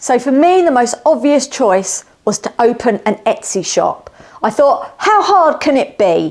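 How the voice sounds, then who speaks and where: A woman speaks at a high pitch, fairly slowly. Her pitch swings very widely. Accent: southern English. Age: 50s. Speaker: woodworker and Etsy seller. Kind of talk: casual self-introduction.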